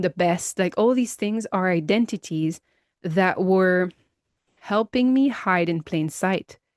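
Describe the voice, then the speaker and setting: This woman has an unremarkable speaking voice at a medium pitch with ordinary pitch variation. She speaks at a fairly slow pace. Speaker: empowerment coach for high achieving women. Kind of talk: personal reflection podcast to camera. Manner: conversational, reflective, with frequent fillers.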